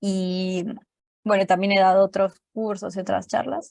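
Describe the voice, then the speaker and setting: In a Colombian accent, a woman speaks at a medium pitch with a dry, close sound and no echo. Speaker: programming teacher. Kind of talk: online class lecture.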